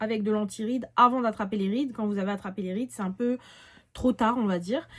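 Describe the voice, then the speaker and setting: The woman's voice is fairly high and somewhat breathy. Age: 20s. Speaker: beauty youtuber. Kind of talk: product haul review. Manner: casual, with many fillers.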